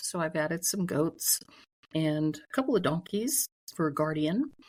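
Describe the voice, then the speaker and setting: A fairly slow woman's voice, fairly low in pitch. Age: 60s. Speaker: sheep farmer. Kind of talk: casual interview.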